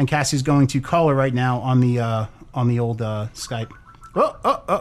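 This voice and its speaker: A man of medium pitch speaks at a moderate pace. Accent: American. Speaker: podcast host. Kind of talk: casual chat. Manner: animated.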